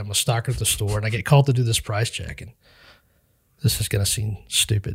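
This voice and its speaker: Somewhat breathy, a man with an American accent talks at a fairly quick pace and medium pitch, with ordinary pitch variation. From Western Kansas. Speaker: pastor. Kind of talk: interview testimony.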